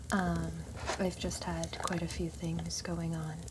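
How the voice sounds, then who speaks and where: Someone soft-spoken talks at a very slow pace amid noticeable background noise. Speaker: ASMR creator. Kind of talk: ASMR soft-spoken video.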